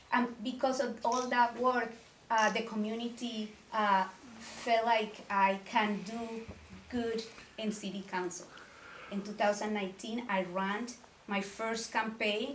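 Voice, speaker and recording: A woman with a Colombian accent, fairly high-pitched and monotone, at a fairly slow pace with long, frequent pauses, amid audible room echo and noticeable background noise. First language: Spanish. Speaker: city council member and mayoral candidate. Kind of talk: candidate forum speech. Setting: community meeting with audience.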